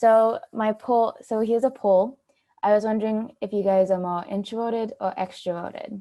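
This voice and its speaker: The woman's voice is fairly high in pitch. Her intonation stays fairly even. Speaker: university student presenter. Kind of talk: online presentation. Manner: fast; halting.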